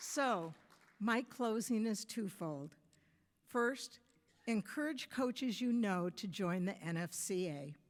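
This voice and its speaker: A woman's very slow speech with lively intonation, in an American accent. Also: medium pitch for a woman. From US Midwest (Michigan). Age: 70s. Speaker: softball coach. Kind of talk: award acceptance speech.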